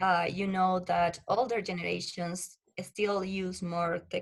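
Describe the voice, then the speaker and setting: A woman with a Spanish accent speaks at a medium pitch with fairly even intonation. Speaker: research assistant and science communicator. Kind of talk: podcast interview. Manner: halting.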